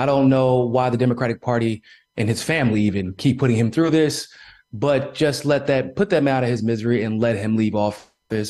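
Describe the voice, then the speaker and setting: Speaking fairly quickly, the man has a plain, everyday voice, medium pitch and ordinary pitch variation. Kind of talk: interview.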